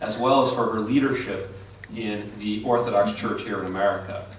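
A man's fairly quick speech with ordinary pitch variation, audible room echo and light background noise. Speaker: event host introducing speaker. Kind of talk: formal introduction speech. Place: hall.

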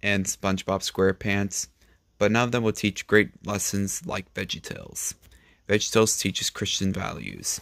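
Against a quiet background, a man with an ordinary speaking voice talks at a moderate pace in a fairly low pitch with fairly even intonation. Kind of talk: casual vlog chat. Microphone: phone near.

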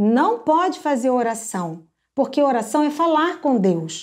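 A woman with a high pitch speaks in very wide pitch swings over a quiet background. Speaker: children's ministry teacher. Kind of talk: teaching talk on puppet ministry. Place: home room. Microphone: phone near.

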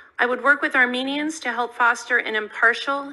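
A woman speaks in an American accent at a high pitch. Her tone is bright and sharp, and her pace is moderate. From California, US. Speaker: diplomat. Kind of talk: prepared testimony. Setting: Senate committee hearing. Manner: formal. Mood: measured, solemn. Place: hall. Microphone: podium.

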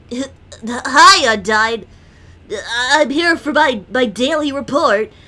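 A female-sounding, high-pitched put-on character voice at a very slow pace. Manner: goofy.

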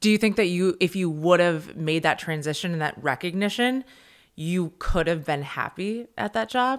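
Intonation here is lively, and the pace is moderate. It is quiet in the background. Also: woman. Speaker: podcast host. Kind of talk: casual interview. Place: home room. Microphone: studio mic.

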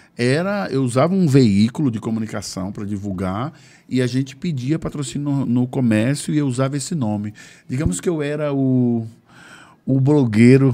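A man's voice has a dark, mellow tone and lively intonation. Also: moderate pace. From Bahia, Brazil. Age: 50s. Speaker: cultural activist and former radio presenter; podcast guest. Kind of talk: casual interview. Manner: halting, with repetitions. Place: studio. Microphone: studio mic.

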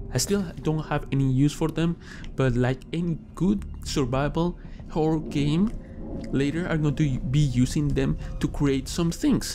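Over noticeable background noise, the speaker goes at a fairly slow pace with ordinary pitch variation. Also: man, fairly high pitch for a man. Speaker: gaming YouTuber. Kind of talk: let's play commentary. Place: home room.

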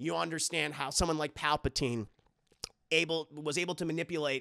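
A man talks at a fairly quick pace in a bright, sharp tone with ordinary pitch variation. The sound is dry with no echo, over a quiet background. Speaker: streamer. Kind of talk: casual live stream commentary. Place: home room. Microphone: studio mic.

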